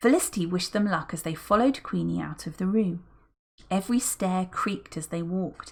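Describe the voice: Plain reading aloud in quiet surroundings, pitch varying in an ordinary way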